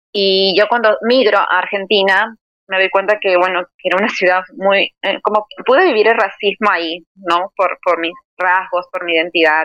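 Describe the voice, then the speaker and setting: In a plain, everyday voice, a woman of medium pitch talks at a moderate pace with fairly even intonation, in a dry, close sound with no echo. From Peru. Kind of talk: interview.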